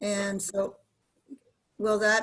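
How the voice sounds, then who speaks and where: The speaker is a woman. Her pitch sits in the medium range. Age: 60s. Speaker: student asking questions. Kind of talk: Q&A session.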